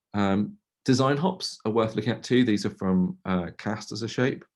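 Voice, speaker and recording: Pitch varies in an ordinary way here. The speaker is a man. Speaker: tech agency co-founder giving a talk. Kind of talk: webinar presentation. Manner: fast.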